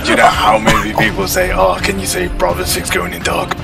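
Over loud background music, a man speaks at a moderate pace. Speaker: streamer. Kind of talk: casual stream chat. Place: home room.

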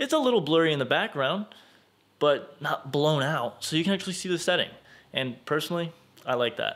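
A man talks with lively intonation, keeping to a moderate pace. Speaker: camera reviewer. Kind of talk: casual vlog chat. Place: home room. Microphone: phone near.

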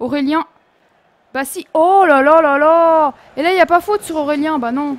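Animated in tone, a woman speaks with ordinary pitch variation in a dry, close sound with no echo. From France, Nancy (Lorraine). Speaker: gaming youtuber. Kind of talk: gameplay commentary.

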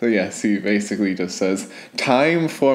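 The man's lively intonation rides on a fairly slow pace. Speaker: comic creator reviewer. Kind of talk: comedic commentary. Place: home room. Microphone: studio mic.

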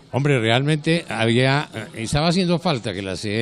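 A man's voice with ordinary pitch variation and faint music in the background. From Colombia. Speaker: veteran news announcer and commercial voice. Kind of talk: casual interview. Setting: event venue. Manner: hesitant, with repetitions. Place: hall. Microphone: handheld.

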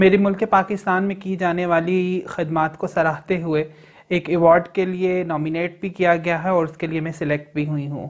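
A woman with a fairly low pitch speaks in a monotone with flat intonation over a quiet background. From Okara, Punjab, Pakistan; Punjab, Pakistan. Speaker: transgender rights activist. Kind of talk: news interview statement. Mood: proud, earnest. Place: office.

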